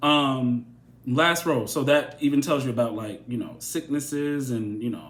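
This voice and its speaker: The man uses a normal speaking voice and talks at a moderate pace. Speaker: tarot reader. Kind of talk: tarot reading monologue.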